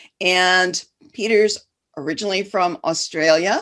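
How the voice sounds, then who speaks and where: At a fairly slow pace, a woman with a medium pitch speaks with a Midwestern US accent. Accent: US Midwest. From Detroit, Michigan. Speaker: business coach and podcast host. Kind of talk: podcast interview.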